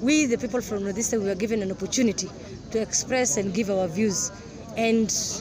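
Speech runs at a very fast pace over crowd noise in the background. The sound is dry, with no echo. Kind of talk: interview answer. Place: open country.

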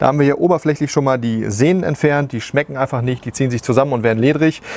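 A man talks at a very fast pace with ordinary pitch variation, in a dry sound with no echo. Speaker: barbecue cooking show host. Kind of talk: tutorial. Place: garden. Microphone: lapel.

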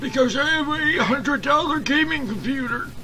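A man performs a put-on character voice. Clear background noise can be heard. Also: moderate pace. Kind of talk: gaming commentary.

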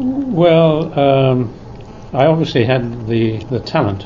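Noticeable background noise accompanies a man whose pitch shows ordinary variation. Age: 60s. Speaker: former tennis player and commentator. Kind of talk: interview answer.

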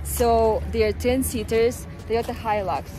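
Clear music plays behind a woman's voice. The sound is dry, with no echo. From Siberia, Russia. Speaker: travel vlogger. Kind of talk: casual talk to camera.

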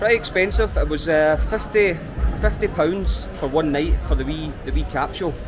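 Clear music plays in the background. Over it, a man speaks in a Scottish accent. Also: moderate pace. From Scotland. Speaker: travel vlogger. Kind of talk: travel vlog narration. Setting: outdoors. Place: market. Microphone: phone near.

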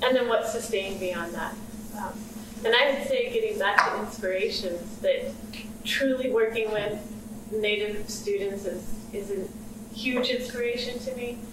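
Woman at a fairly high pitch and moderate pace, long, frequent pauses, audible room echo and noticeable background noise. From Southern California. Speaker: panelist, public health professional. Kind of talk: panel discussion talk. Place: meeting room. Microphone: camera far.

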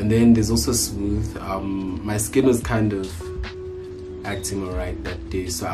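At a moderate speed, a man talks while clear music sounds in the background. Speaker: youtuber. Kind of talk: tutorial. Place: home room. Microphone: phone near.

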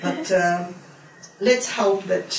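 Speaking at a fairly slow pace, a woman shows vocal fry, and audible echo fills the room.

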